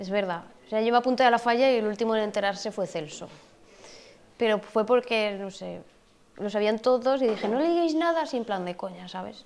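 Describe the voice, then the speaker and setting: This woman's voice sits fairly high. It varies in pitch in an ordinary way. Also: fairly quick pace. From Spain. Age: 20s. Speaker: festival queen; interviewee. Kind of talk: interview. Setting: falla clubhouse. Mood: relaxed, informal. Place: hall.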